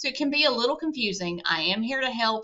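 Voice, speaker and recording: Speaking at a very fast pace, this woman has a Southern US accent. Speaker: college instructor. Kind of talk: course introduction lecture. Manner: casual, conversational.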